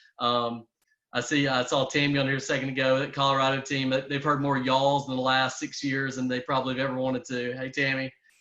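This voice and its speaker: A man's bright, sharp, monotone voice with flat intonation, a very fast pace and a strong Southern US accent. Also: medium pitch for a man. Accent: strong Southern country. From US South, Louisiana. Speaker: network marketing entrepreneur. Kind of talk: business opportunity pitch. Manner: hesitant, many fillers and repetitions.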